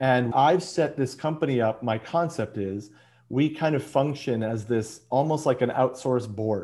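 A man's plain, everyday voice with an American accent, medium in pitch with ordinary pitch variation, at a moderate pace, on a very clean recording with a silent background. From US Midwest, Chicago. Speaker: business advisor and entrepreneur. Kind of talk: interview.

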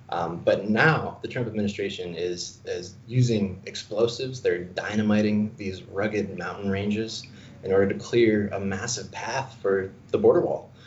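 With an American accent, a man speaks at a moderate pace in a fairly low voice with ordinary pitch variation and hardly any pauses, and room echo can be heard. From Arizona. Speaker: environmental campaigner. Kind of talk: interview. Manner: hesitant, many fillers.

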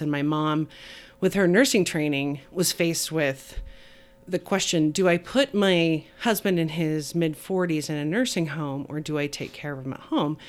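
With an American accent, a woman speaks at a moderate pace. Her pitch is very deep and low, with ordinary variation. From Utah. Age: 40s. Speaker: church member and social services advocate. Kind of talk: casual chat.

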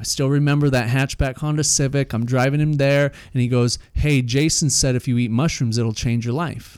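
A man with an American accent and a plain, everyday voice speaks at medium pitch and a moderate pace, with hardly any pauses, fairly even intonation and very even loudness, on a very clean recording with a silent background. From Utah (Salt Lake City). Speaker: personal development facilitator. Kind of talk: casual interview chat, personal story.

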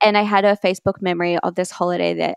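Speech comes at a very fast pace in an Australian accent. The sound is dry and close with no echo. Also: woman. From Australia, Brisbane. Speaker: health coach. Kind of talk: casual interview chat.

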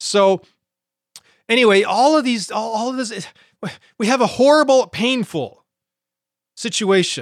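Fairly slow speech with long, frequent pauses, on a very clean recording with a silent background. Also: man, extremely high pitch for a man, ordinary pitch variation. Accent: American. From Montana. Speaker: podcast bible teacher. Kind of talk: podcast teaching monologue. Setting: home studio recording. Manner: halting, many fillers.

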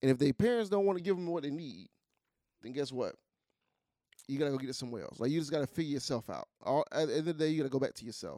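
This man talks at a very fast pace with a fairly high pitch, lively intonation and long, frequent pauses. His tone is dark and mellow, and the sound is dry and close with no echo. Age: middle-aged. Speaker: podcast co-host. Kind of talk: casual chat. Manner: animated.

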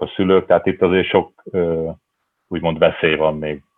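A man talks at a fairly quick pace in a very deep, low pitch. His intonation stays monotone and flat. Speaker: football academy director. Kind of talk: panel discussion.

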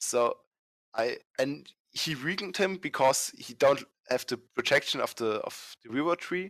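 Over a quiet background, a man with a fairly high pitch talks at a moderate pace with lively intonation, the sound dry and close with no echo. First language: not English. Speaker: fan game designer. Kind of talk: casual interview. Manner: halting.

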